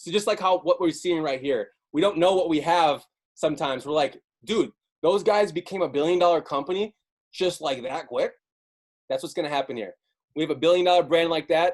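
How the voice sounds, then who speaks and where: An American accent at a fairly quick pace, with long, frequent pauses and ordinary pitch variation. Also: man, high pitch for a man. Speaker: network marketing team leader. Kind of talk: team call pep talk. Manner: animated.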